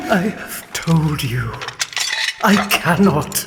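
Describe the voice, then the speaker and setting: A put-on character voice speaks at a middle pitch. There is clear background noise and a clear echo. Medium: audio drama. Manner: solemn, restrained.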